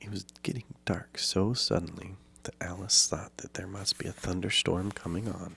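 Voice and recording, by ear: Someone reads aloud using a natural voice.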